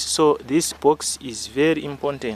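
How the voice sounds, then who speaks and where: A man's plain, everyday voice, fairly high in pitch, at a fairly slow pace with fairly even intonation. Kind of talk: casual talk to camera.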